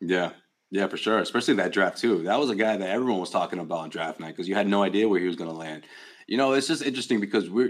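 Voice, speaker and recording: Very fast speech from a man with a fairly low pitch and ordinary pitch variation, on a very clean recording with a silent background. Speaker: basketball analyst. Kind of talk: casual sports talk.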